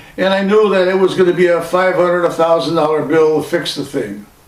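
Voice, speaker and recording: The recording has audible room echo and noticeable background noise. A man speaks with a high pitch. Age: 80s+. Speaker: vlogger. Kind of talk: casual monologue.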